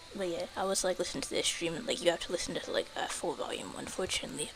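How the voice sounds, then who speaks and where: A woman's words come at a very fast pace amid noticeable background noise. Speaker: game streamer. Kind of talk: casual live stream chat. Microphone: quiet stream audio.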